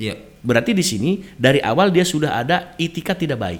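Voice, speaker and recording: Fairly high-pitched male voice with vocal fry, very wide pitch swings, and a fairly quick pace. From West Java, Sumedang. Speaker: legal consultant. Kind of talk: radio legal advice talk. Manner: hesitant, many fillers.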